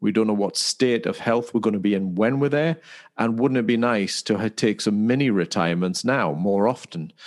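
A normal speaking voice from a man, medium in pitch, with ordinary pitch variation, very even loudness and a moderate pace, against a quiet background. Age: 50s. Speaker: podcast co-host and wellbeing coach. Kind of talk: casual chat.

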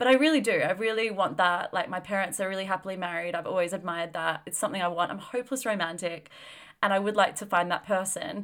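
The delivery comes at a very fast pace. Pitch varies in an ordinary way. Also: woman, medium pitch for a woman. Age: 30s. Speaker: podcast co-host. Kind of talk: casual chat.

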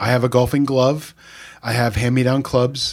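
A man talks at a fairly slow pace and medium pitch. His is a plain, everyday voice. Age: 50s. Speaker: pastor. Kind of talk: casual chat.

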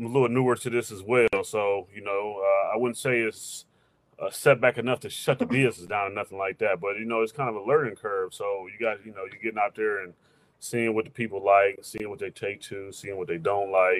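A man with an unremarkable speaking voice talks fairly quickly at a fairly low pitch, his intonation fairly even but his loudness swinging widely. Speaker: small business owner, videographer. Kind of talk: casual chat.

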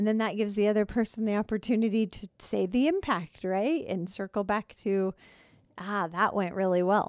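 A woman speaks in a plain, everyday voice at medium pitch and a moderate pace, with ordinary pitch variation. The sound is dry and close with no echo, over a quiet background. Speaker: counselor co-host. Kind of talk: casual conversation about counseling.

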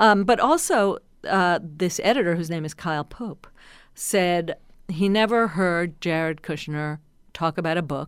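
A woman with an American accent has an ordinary speaking voice and ordinary pitch variation. She speaks at a fairly slow pace in a very clean recording with a silent background. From New Jersey. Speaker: journalist and author. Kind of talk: interview.

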